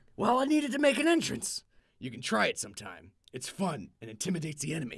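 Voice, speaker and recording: Putting on a character voice, a man speaks raspy and high-pitched at a very fast pace, his loudness swinging widely. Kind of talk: hard-boiled old-timer slang. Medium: audio drama. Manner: gruff, brusque, wisecracking.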